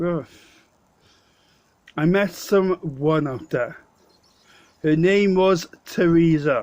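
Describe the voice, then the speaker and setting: With a South Wales accent, a man speaks at a very slow pace, leaving long, frequent pauses. His pitch is high, with ordinary variation. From Wales, Swansea. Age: 30s. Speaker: vlogger. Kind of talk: casual storytelling. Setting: pub. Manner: halting.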